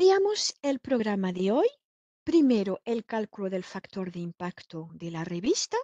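Speaking at a fairly slow pace with a French accent, a woman has a dark, mellow tone, lively intonation and big swings in loudness. The sound is dry with no echo, over a quiet background. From France. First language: French (speaking Spanish). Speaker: software trainer; trainer. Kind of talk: online training lecture; lecture. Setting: online webinar. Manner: frequent filler hesitations.

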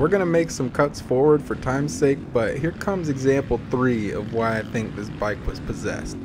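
Lively intonation carries speech at a moderate pace with hardly any pauses, over noticeable background noise. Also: man, medium pitch for a man. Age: 20s. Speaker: motocross racer and YouTuber. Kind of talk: video voiceover narration. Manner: animated.

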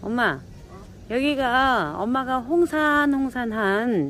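A woman speaks very slowly, her intonation lively. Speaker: actor. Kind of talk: casual talk while filming.

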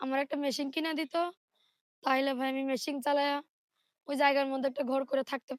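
Recorded very cleanly with a silent background and a dry, close sound with no echo, a woman speaks at a high pitch with monotone, flat intonation. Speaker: domestic worker seeking a marriage partner. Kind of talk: interview.

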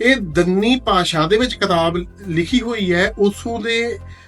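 A man speaks with a high pitch and ordinary pitch variation. Music plays in the background. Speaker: audiobook platform host. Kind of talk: promotional talk to camera.

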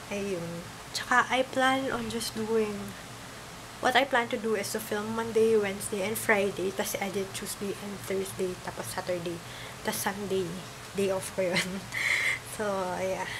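Noticeable background noise sits behind a woman who speaks at a fairly slow pace with fairly even intonation. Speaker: vlogger. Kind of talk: casual vlog chat. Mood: relaxed, laughing. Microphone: phone near.

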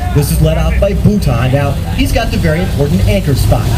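Fairly quick speech over loud background noise. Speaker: show announcer. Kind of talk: live show commentary. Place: stadium. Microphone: pa.

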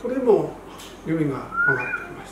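Audible room echo and noticeable background noise surround a man talking at a moderate pace. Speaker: amateur golf instructor. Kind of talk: golf tips talk to camera. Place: gym.

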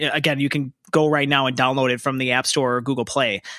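With an American accent, this man has a fairly high pitch and a bright, sharp tone. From Minnesota, Richfield. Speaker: podcast host. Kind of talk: interview.

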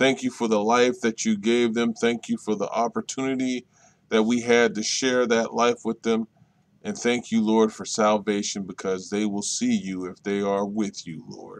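In a dry recording with no echo and a quiet background, a man speaks at a moderate pace with fairly even intonation. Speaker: prayer leader. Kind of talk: fervent prayer. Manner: earnest, pleading, repeating "Lord" as a rhythmic refrain; humble, soft-spoken, comforting. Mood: solemn, tender, grieving. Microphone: webcam.

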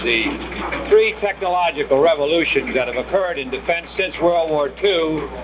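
A man speaks in a high voice with lively intonation over noticeable background noise. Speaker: U.S. senator. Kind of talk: political speech about defense reorganization, newsreel statement. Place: hall. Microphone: podium.

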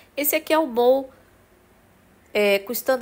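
Her voice high, a woman speaks with lively intonation. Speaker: shopping vlogger and store reviewer. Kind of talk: street seller pitchman, upbeat product showcase with prices and calls to buy. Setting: walking through a store, handheld video. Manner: repeats "olha, gente" to steer attention. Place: shop. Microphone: phone near.

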